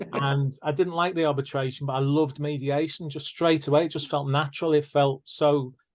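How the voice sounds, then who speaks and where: A man's fairly high voice, fairly quick and monotone, with flat intonation and hardly any pauses. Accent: northern English. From northern England. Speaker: mediator and podcast host. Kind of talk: casual interview chat.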